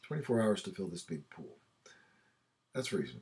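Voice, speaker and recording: A man's voice at a medium pitch. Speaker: math teacher. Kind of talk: tutorial. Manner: fast.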